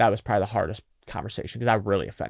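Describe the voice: Vocal fry colors speech delivered at a very fast pace with ordinary pitch variation. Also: man.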